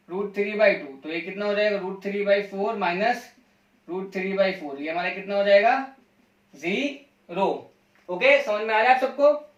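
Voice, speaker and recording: Pitched high, a man talks with ordinary variation in his pitch. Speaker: math teacher. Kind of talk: lecture.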